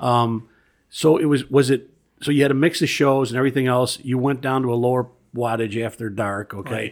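The recording is very clean, with a silent background. An ordinary speaking voice with an American accent moves at a fairly quick pace with fairly even intonation. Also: man, medium pitch for a man. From Chicago area, Illinois. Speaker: podcast host, history museum board president. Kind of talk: casual chat.

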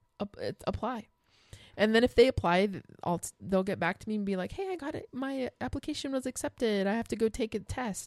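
A plain, everyday voice moves at a fairly quick pace with lively intonation. The sound is dry and close, with no echo. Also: woman, fairly high pitch for a woman. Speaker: podcast host. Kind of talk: casual chat.

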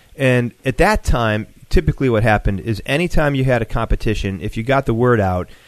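This is a normal speaking voice from a man with an American accent, medium in pitch. He talks at a fairly quick pace against a quiet background. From Buffalo, New York. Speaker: competition organizer. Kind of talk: casual interview chat.

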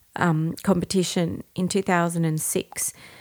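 The speaker has an Australian accent and a monotone, flat intonation. The recording is very clean, with a silent background. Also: woman. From Australia, Brisbane. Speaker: soprano singer. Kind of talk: casual chat.

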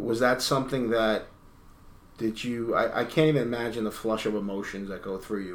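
The speaker has an unremarkable speaking voice with ordinary pitch variation. The pace is fairly quick. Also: man. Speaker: podcast host and journalist. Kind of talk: casual interview. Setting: home interview, recorded in guest's house.

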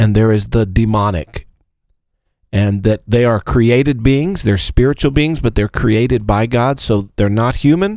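In an ordinary speaking voice, a man talks at medium pitch and a fairly slow pace, with ordinary pitch variation and very even loudness. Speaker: pastor. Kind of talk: casual chat about scripture.

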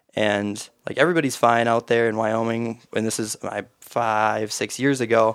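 Speaking at a moderate pace with hardly any pauses, a man with an Upper Midwest accent keeps a medium pitch and fairly even intonation. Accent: Upper Midwest (Minnesota). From Minnesota, east central small town. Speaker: hunting conservation group chapter chair. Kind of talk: casual chat.

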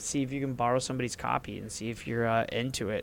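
Monotone and flat in intonation, a man talks at a medium pitch. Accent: American. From US North, Ohio side of the Ohio River. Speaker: gaming podcast co-host. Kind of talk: casual chat.

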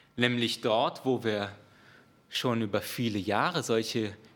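Noticeable background noise sits behind a man's medium-pitched voice. He speaks at a very slow pace. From outside Germany. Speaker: preacher. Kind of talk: sermon.

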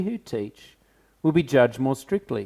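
A man speaks at a moderate pace in a fairly high pitch with very wide pitch swings. The recording is very clean with a silent background. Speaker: pastor. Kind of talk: sermon. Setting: church.

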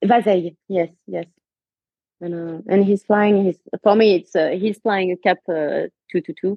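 Over music in the background, a woman speaks slowly-ish, at a fairly slow pace, in a French accent. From France. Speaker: aerobatic pilot and airline pilot. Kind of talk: casual interview.

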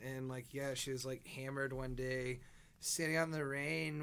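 A man with an American accent speaks in an unremarkable speaking voice at a moderate pace, with medium pitch and fairly even intonation. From Southeast Texas, Louisiana border. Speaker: musician. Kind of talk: casual interview.

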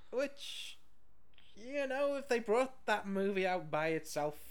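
A man with a British accent speaks with lively intonation, and audible room echo surrounds his voice. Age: 30s. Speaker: podcast co-host reviewing films. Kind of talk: casual chat.

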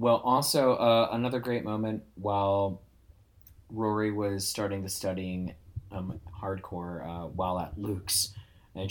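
A man's normal speaking voice, fairly low in pitch, fairly even in intonation and at a fairly slow pace. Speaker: podcast host. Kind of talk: casual chat.

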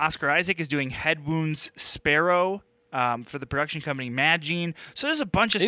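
An enthusiastic, bright, sharp tone at a moderate pace comes through a dry, close sound with no echo and a very clean recording with a silent background. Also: man, ordinary pitch variation. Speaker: podcast co-host. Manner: casual, enthusiastic news rundown.

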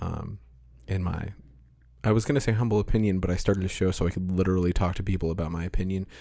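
A man with a very deep, low pitch talks at a very fast pace, his tone dark and mellow and his intonation fairly even. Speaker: podcast host. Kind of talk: casual interview conversation. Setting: home studio with pop screens. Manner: measured radio-style cadence.

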